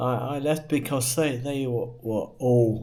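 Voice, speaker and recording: A man's medium-pitched voice with an American accent, ordinary pitch variation and a very slow pace. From England. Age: 60s. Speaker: vlogger. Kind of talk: personal monologue. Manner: halting.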